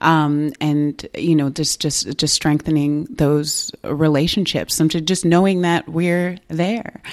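A woman with an American accent speaks in a very deep, low voice. Her pace is very slow, with hardly any pauses. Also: fairly even intonation. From Ithaca, New York, US. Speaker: education professor and community center board president. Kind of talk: interview.

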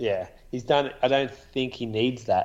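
The speaker is a man with an Australian accent. He goes at a moderate pace. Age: 30s. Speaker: podcast co-host and runner. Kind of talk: casual chat.

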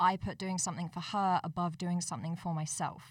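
A woman speaks in a plain, everyday voice, fairly low in pitch and fairly quick, with fairly even intonation on a very clean recording against a silent background. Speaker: volunteer coordinator. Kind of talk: casual chat.

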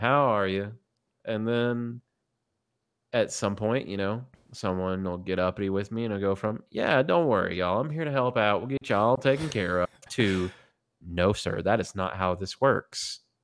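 Lively intonation marks this man's speech in a Southern US accent. The recording is very clean, with a silent background. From US South, Tennessee. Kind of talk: casual chat.

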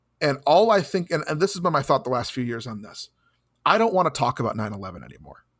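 A man with a fairly high pitch talks at a very fast pace, his voice swinging very widely in pitch and showing vocal fry, captured on a very clean recording against a silent background. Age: 30s. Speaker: podcast co-host. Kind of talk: casual chat.

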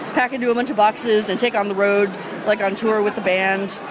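Crowd noise fills the background. A woman talks at a fairly quick pace. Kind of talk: casual interview chat. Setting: zine fest in large hall. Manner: enthusiastic.

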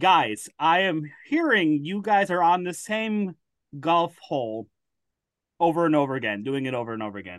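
A man with an American accent and fairly high pitch speaks at a moderate pace, his pitch swinging very widely. The recording is very clean, with a silent background. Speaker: podcaster guest. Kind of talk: casual chat. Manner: halting.

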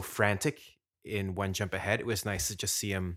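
A man's fairly low voice at a moderate pace, on a very clean recording with a silent background. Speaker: musical theatre fan, singer. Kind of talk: casual chat.

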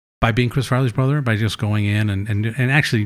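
This is a man with an American accent and an unremarkable speaking voice. His pitch is medium with ordinary variation, on a very clean recording with a silent background. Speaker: author. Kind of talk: casual chat. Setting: kitchen.

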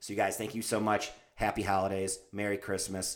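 A man talks at a very fast pace in a fairly low pitch with an animated tone. The recording is very clean, with a silent background. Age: 30s. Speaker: fitness and nutrition podcast host. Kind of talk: casual podcast monologue.

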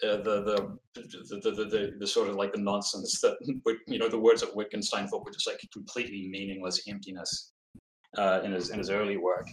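A man speaks with a New Zealand accent. His pace is fairly quick. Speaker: philosophy graduate student. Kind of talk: casual chat.

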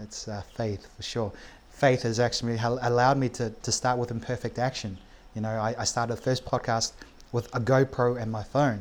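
Speaking with a New Zealand accent, a man keeps a monotone, flat intonation at a medium pitch and a moderate pace. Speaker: podcast host and entrepreneur. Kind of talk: casual interview chat. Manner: halting, many fillers.

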